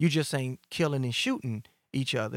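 On a very clean recording with a silent background, a man of fairly high pitch talks at a fairly quick pace with ordinary pitch variation, the sound dry and close with no echo. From Chicago South Side, Englewood/Gresham. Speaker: nightlife promoter, former drug dealer. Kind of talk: casual interview, life story.

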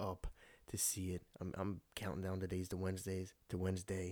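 In a very clean recording with a silent background, a man speaks with a dark, mellow tone. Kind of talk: solo casual commentary. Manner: rambling, fast.

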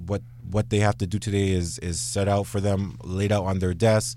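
A man's fairly low voice, dark and mellow in tone, with a Toronto accent. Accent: Toronto Canadian English. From Canada, Brampton near Toronto. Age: 30s. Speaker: lawyer. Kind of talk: radio interview.

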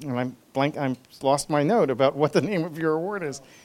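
The speaker has a plain, everyday voice. Pitch variation is ordinary. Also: man. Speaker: professor and colloquium moderator. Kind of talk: speaker introduction. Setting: stage with audience.

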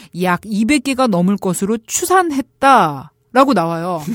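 A woman's unremarkable speaking voice, fairly high and lively in intonation, at a moderate pace in a very clean recording with a silent background. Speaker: political journalist, guest expert on politics. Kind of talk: casual conversation, explanatory discussion.

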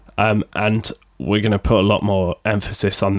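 Heard on a very clean recording with a silent background and a dry, close sound with no echo, a man with a Sheffield accent speaks at a moderate pace in a monotone, flat intonation. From Sheffield, England. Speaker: podcaster and record label co-owner. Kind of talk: casual solo podcast monologue. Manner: casual, chatty, self-deprecating.

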